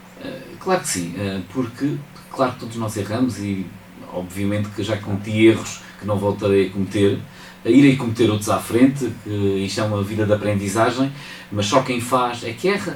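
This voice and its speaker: A man with a fairly low pitch speaks at a moderate pace with ordinary pitch variation. His loudness swings widely, and audible room echo surrounds him. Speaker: mayor. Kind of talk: radio interview. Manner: hesitant with fillers.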